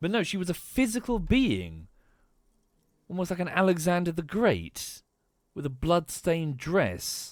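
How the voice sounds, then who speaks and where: A man speaks at a high pitch with ordinary pitch variation, fairly slowly and with long, frequent pauses. The recording is very clean with a silent background. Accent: English. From England. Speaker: streamer. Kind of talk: live gameplay commentary. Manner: halting.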